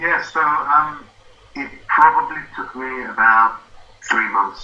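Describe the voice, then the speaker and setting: A man's fairly high voice at a very slow pace, with ordinary pitch variation, big swings in loudness and noticeable background noise. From South Africa. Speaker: former engineer, affiliate marketing student. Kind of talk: interview.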